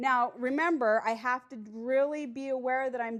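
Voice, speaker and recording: This woman sounds loud and animated, her high pitch showing ordinary variation. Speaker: recovery coach. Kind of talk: workshop talk.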